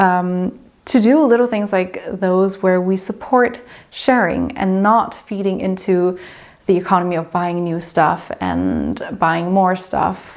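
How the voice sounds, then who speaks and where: A German accent at a very slow pace, with ordinary pitch variation. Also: woman, medium pitch for a woman. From southern Germany. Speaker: lifestyle vlogger. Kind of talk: vlog talk to camera.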